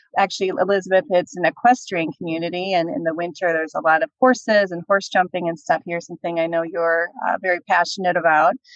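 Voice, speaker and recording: A woman races along at a very fast pace with hardly any pauses. Her pitch is fairly low, with a slight Minnesota accent. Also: ordinary pitch variation. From Minnesota, US Midwest. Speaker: nonprofit CEO. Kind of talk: casual interview chat.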